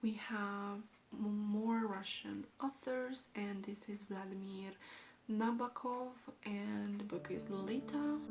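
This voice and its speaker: Over noticeable background noise, someone speaks very slowly with fairly even intonation. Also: woman, medium pitch for a woman. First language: Romanian. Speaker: book vlogger. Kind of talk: casual vlog talk.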